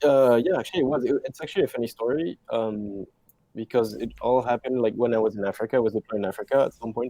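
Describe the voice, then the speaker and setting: A man with a French accent speaks at a very fast pace, his medium pitch showing ordinary variation and a dark, mellow tone. The sound is dry and close, with no echo. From France. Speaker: video game artist. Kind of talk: interview. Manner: halting.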